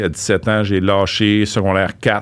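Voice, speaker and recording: A man speaks at a fairly slow pace. He has an unremarkable speaking voice. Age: 50s. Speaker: real estate investor. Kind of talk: interview.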